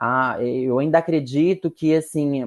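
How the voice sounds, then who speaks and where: A woman's very deep, low voice at a very slow pace, with fairly even intonation against a quiet background. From interior of São Paulo state, Brazil. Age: 30s. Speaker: actress. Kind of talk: podcast interview.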